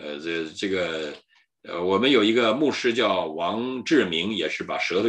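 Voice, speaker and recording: Very wide pitch swings against a quiet background. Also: man. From mainland China. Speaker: pastor and channel host; pastor, channel host. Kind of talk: solo livestream talk on history. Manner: frequent fillers and hesitations. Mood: earnest, indignant at times. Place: home room. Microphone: video call.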